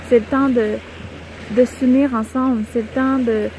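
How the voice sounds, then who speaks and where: A woman speaks in a fairly high voice with fairly even intonation. Noticeable background noise can be heard. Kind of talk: soft-spoken spiritual reflection to camera. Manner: soft-spoken, calm, whispery.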